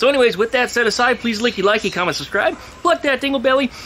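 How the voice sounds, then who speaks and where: A man talks at a very fast pace in a raised, projected voice. Light background noise sits behind him. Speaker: garage channel host. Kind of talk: casual vlog chat. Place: garden. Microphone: phone near.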